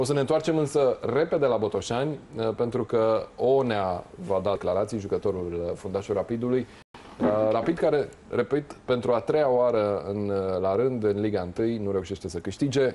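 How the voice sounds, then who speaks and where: A man speaks at a moderate pace, his pitch shifting in an ordinary way. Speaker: TV sports presenter. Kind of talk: studio football analysis. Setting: studio. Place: studio.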